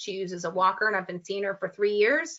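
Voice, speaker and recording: At a fairly quick pace, a woman speaks with a medium pitch. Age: 40s. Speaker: personal trainer. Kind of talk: Q&A answer; presentation. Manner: hesitant, frequent fillers.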